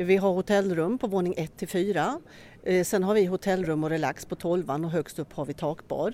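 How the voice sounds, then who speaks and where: A dark, mellow tone marks a woman's voice at a medium pitch. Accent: Östergötland. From Norrköping, Sweden. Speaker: hotel director. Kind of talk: interview during a guided tour. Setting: walking tour inside a hotel.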